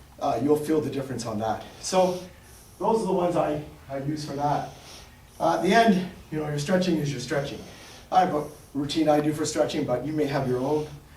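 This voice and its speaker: A man with a fairly high voice talks at a fairly quick clip, broken by long, frequent pauses, with ordinary pitch variation. Audible room echo and noticeable background noise surround him. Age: 60s. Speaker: fitness and martial arts instructor. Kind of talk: exercise demonstration tutorial. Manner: casual, halting with fillers.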